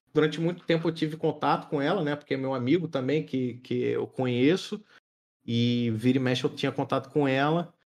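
Speaking in a normal speaking voice, a man uses a fairly high pitch with ordinary pitch variation at a fairly quick pace. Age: 30s. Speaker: streamer. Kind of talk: casual chat.

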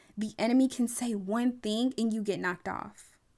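In a plain, everyday voice, a woman with fairly high pitch speaks at a moderate pace on a very clean recording with a silent background. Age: 20s. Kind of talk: solo faith podcast monologue shifting into impassioned sermon-style exhortation. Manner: casual, bubbly and chatty; rising preacher cadence with rhythmic repetition.

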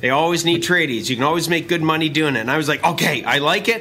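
A man's voice over noticeable background noise. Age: 50s. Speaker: business coach and podcast host. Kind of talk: casual chat. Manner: animated.

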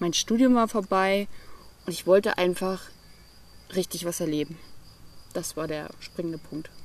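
Long, frequent pauses break up a woman's speech at a moderate pace. Her pitch is fairly low, with ordinary variation. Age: 20s. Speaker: entrepreneur and digital nomad. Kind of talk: interview.

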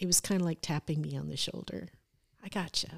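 Recorded very cleanly against a silent background, a woman talks with an American accent in a dry, close sound with no echo. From northwestern Iowa and Arizona. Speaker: minister's wife. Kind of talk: testimony.

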